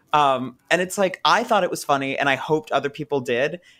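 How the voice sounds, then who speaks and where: The pace here is fairly quick. It is an unremarkable speaking voice whose pitch varies in an ordinary way. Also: man. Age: 20s. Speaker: content creator and composer. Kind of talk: casual podcast interview.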